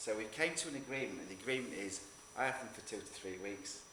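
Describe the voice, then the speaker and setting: A man speaks at a moderate pace. The room echo is audible and there is noticeable background noise. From northern England. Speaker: photographer. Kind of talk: talk to an audience. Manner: halting, with repeated words.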